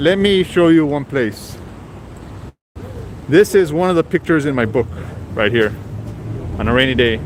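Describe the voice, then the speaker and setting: With lively intonation and long, frequent pauses, a man with a fairly high pitch speaks at a moderate pace over noticeable background noise. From Texas, Rio Grande Valley. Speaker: street photographer and streamer. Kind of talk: live stream walking vlog. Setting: outdoors on city streets.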